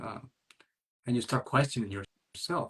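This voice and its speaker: With a non-native accent, a man speaks at a medium pitch and a moderate pace. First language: not English. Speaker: single parenting coach. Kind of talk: interview conversation.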